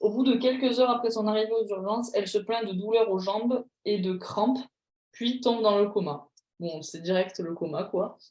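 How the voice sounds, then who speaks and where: At a moderate pace, a woman speaks in a fairly high pitch with ordinary pitch variation. Her tone is animated. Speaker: pharmacy exam tutor. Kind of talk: online tutorial.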